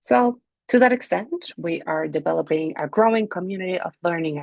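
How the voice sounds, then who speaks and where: A woman with a Spanish accent at a medium pitch, lively in intonation, at a moderate pace, with a dry, close sound and no echo. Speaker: NGO director and language rights advocate. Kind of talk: prepared video presentation.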